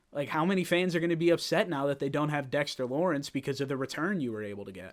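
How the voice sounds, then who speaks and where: On a very clean recording with a silent background, a man with an American accent talks at a very fast pace in a fairly high pitch with lively intonation. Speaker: sports podcast host. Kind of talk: casual solo sports commentary. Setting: home studio set. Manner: animated.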